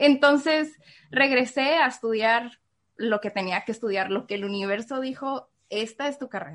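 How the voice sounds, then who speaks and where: A woman speaks at a high pitch and a moderate pace. Her pitch varies in an ordinary way against a quiet background. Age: 20s. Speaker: recent marketing graduate. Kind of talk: interview.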